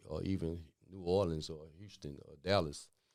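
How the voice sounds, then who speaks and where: A man speaks with a Mississippi accent, his pitch very deep and low and his tone dark and mellow. His intonation stays fairly even, and the recording is very clean over a silent background. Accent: Southern Mississippi. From Jackson, Mississippi (US South). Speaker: interviewee in community podcast. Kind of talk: casual interview. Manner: halting, many fillers.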